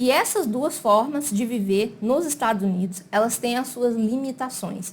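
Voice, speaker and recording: Lively in intonation, a woman talks at a moderate pace. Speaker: immigration consultant. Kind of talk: explainer video. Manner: casual, conversational.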